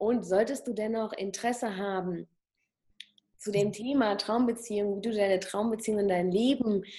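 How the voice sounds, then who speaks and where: An unremarkable speaking voice from a woman, medium in pitch, with ordinary pitch variation and a moderate pace. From Germany. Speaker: plastic surgeon and hypnotherapist. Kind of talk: interview.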